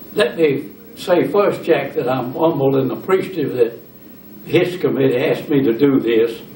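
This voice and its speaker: A man with a Southern US accent speaks at a moderate pace and a fairly high pitch with ordinary pitch variation, amid audible room echo and noticeable background noise. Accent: Southern US (Georgia). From US South, LaGrange, Georgia. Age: 80s+. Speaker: retired businessman, church member. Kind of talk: oral history interview.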